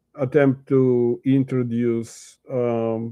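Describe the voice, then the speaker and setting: In a Russian accent, a man speaks at a medium pitch with a dark, mellow tone and flat, monotone intonation. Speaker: Yiddish literature teacher. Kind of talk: reading aloud with commentary. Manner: halting, many fillers.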